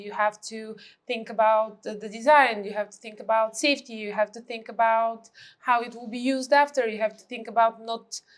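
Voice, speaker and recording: A woman speaks in a Bulgarian accent at a fairly high pitch. Her intonation is monotone and flat. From Bulgaria, Sofia. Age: 30s. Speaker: architect. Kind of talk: podcast interview.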